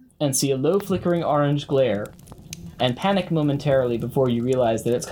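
This is a natural reading voice. It reads aloud.

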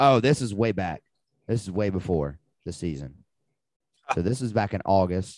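Speaking in a Southern US accent, a man has a fairly low pitch and an animated tone with lively intonation. He keeps a moderate pace with long, frequent pauses. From Alabama. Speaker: sports betting podcast host. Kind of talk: casual chat.

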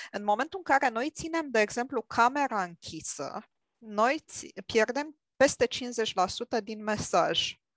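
Speaking very slowly with lively intonation, a woman's high voice comes through dry and close with no echo against a quiet background. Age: 40s. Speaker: IT manager and clinical psychologist. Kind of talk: casual discussion.

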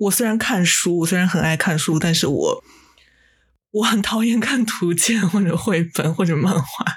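A woman at a moderate pace, somewhat breathy, with very even loudness. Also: medium pitch for a woman, ordinary pitch variation. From Japan. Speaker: podcast co-host. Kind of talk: casual chat.

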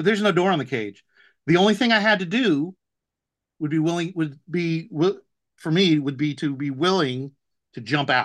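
Against a quiet background, a man with a fairly high voice speaks at a moderate pace, with lively intonation and long, frequent pauses. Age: 40s. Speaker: software engineer. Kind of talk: casual chat.

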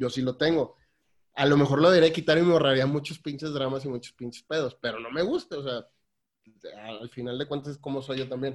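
Speaking at a fairly quick pace, a man with a fairly high pitch and an unremarkable speaking voice keeps his intonation fairly even while his loudness swings widely. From Mexico, Tampico. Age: 30s. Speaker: lawyer working in ship maintenance. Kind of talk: casual chat.

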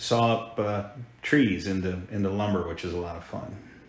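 In an American accent, a man speaks at a moderate pace with a fairly low pitch and fairly even intonation. Audible room echo surrounds the voice. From Hampton, Virginia, US. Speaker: insurance agency owner. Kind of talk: interview. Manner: halting.

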